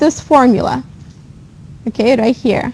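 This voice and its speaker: A woman's high voice at a moderate pace, with ordinary pitch variation, over noticeable background noise. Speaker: accounting instructor. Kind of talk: lecture.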